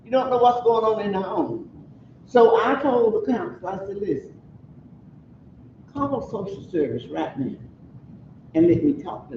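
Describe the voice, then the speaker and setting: Her fairly high voice swings very widely in pitch and jumps sharply in loudness. The woman leaves long, frequent pauses, and room echo is audible. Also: moderate pace. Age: 80s+. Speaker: community member speaking at a forum. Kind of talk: community meeting discussion.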